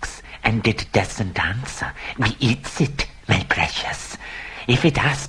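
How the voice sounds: Natural voice, reading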